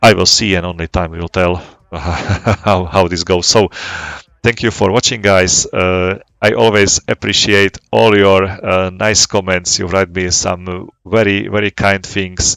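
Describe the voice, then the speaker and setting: A man with a non-native accent, a very deep, low pitch, fairly even intonation and a fairly slow pace. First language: not English. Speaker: flight sim gaming YouTuber. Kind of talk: casual gameplay commentary. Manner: halting, many fillers and repetitions.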